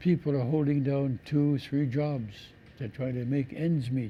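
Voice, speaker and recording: A dark, mellow, somewhat breathy voice. The intonation is fairly even and the pace moderate. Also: man. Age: 80s+. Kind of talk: interview.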